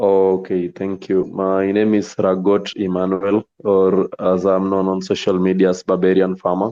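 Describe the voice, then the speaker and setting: A man's very deep, low, monotone voice in a Kenyan accent, fairly slow with hardly any pauses. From Western Kenya, Homa Bay County. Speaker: poultry farmer. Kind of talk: casual chat.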